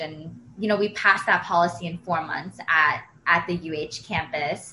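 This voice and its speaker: A woman has an ordinary speaking voice with a fairly low pitch. She talks at a fairly slow pace. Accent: American. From Pennsylvania, US. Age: 20s. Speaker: environmental nonprofit coordinator. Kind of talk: interview.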